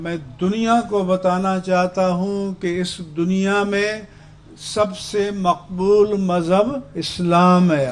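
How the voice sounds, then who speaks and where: A man speaks at a high pitch with fairly even intonation. Noticeable noise sits in the background. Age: 70s. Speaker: religious scholar. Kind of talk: speech to a protest sit-in. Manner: formal.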